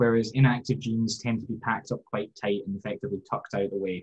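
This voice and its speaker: Here a man speaks with a Scottish accent. His intonation is fairly even. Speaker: science lecturer, foundation director. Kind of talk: educational lecture. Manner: casual, humorous.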